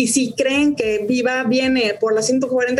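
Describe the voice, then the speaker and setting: Music plays behind a woman with a high pitch. Her pitch varies in an ordinary way. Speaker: stock exchange executive. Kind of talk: interview.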